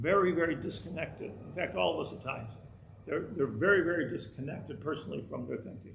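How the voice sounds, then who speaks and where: Talking at a very fast pace, a man with a fairly high pitch uses lively intonation while audible room echo surrounds him. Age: 60s. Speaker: rabbi teaching a Torah class. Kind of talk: lecture. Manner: halting, many repeated words.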